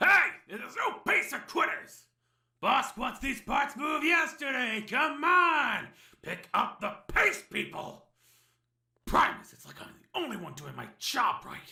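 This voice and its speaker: A man's cartoonish character voice, extremely high-pitched, at a fairly slow pace. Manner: rambling, wisecracking.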